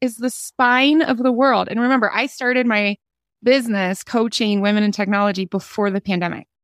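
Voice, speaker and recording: A woman at a moderate pace, the sound dry and close with no echo, on a very clean recording with a silent background. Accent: American. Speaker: career coach. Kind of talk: casual chat. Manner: animated.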